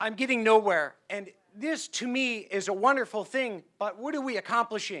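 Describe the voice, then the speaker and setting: Raised and projected, a man's high-pitched voice carries a bright, sharp tone at a moderate pace with ordinary pitch variation. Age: 40s. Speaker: audience member asking a question. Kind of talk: public question at a conference.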